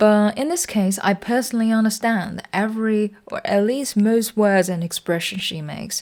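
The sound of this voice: A woman at medium pitch with a slightly mellow tone, ordinary pitch variation and a moderate pace.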